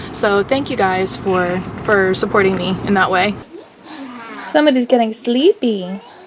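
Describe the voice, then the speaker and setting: The speech has ordinary pitch variation and long, frequent pauses. Noticeable background noise runs underneath. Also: woman, medium pitch for a woman, moderate pace. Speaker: mom vlogger. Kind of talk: casual vlog talk to camera. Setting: at home at night, kids asleep. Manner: hesitant, many ums; whispering.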